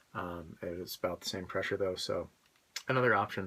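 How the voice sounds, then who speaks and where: A man speaks quietly in a bright, sharp tone. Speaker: prop weapons supplier. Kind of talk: tutorial demonstration.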